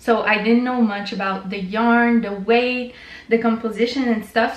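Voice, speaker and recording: A woman speaks at a fairly high pitch in a monotone, flat intonation, with audible room echo around her. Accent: French Canadian. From French Canada. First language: French. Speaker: knitting vlogger. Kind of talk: casual vlog talk. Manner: casual, many fillers.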